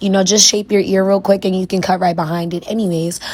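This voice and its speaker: A woman in a New York accent speaks at a very fast pace with monotone, flat intonation. Noticeable background noise is present. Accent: New York (Bronx). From New York City, the Bronx. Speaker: wig stylist and beauty vlogger. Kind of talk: tutorial with story time. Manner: casual, chatty.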